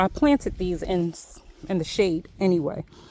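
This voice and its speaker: Speaking at a moderate pace, a woman talks with a Philadelphia accent. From Philadelphia, US. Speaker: homesteader vlogger. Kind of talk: casual walk-and-talk vlog. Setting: outdoors.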